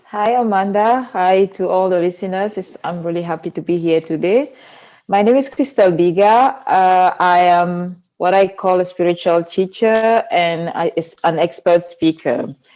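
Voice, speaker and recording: A woman with a Cameroonian accent speaks at a moderate pace and a medium pitch, with ordinary pitch variation against a quiet background. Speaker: spiritual teacher and speaker. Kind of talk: interview.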